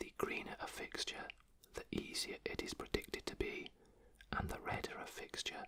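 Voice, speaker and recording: Whispering at a moderate pace. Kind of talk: ASMR football commentary, casual talk to camera. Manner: whispered, soft-spoken.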